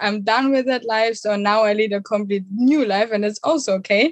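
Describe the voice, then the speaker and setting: A woman with a German accent speaks at a moderate pace, her fairly high pitch showing ordinary variation. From southern Germany, near Munich. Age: 20s. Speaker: online coach for digital nomads. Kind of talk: podcast interview.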